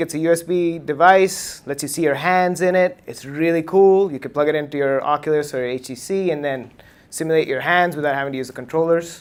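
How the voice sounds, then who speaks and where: A man speaks with a high voice. His pace is very fast. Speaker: tech meetup speaker, computer engineer. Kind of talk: lightning talk presentation. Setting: meetup with live audience.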